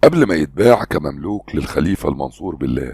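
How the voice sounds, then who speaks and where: A man with an Egyptian accent speaks with a very deep, low pitch and a dark, mellow tone. His voice carries vocal fry and very wide pitch swings. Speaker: voice-over artist and trainer. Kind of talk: historical fact narration.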